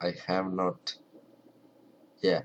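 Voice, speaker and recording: This is a man speaking. He has a strong Ukrainian accent. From Ukraine. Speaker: language hobbyist vlogger. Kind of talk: casual tutorial. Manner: halting, many fillers; not loud.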